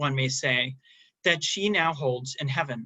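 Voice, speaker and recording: A man with an American accent talks at a moderate speed. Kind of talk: academic paper reading. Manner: formal.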